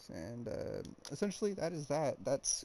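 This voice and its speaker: Quietly and at a fairly slow pace, a man speaks with lively intonation. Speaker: gaming YouTuber. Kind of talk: gameplay build guide commentary. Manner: a bit quiet; hesitant, filler-heavy.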